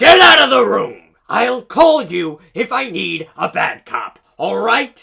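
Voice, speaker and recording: Using a cartoonish character voice, a man talks at a fairly slow pace in an extremely high pitch. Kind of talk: noir detective narration. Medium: puppet. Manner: gruff, aggressive.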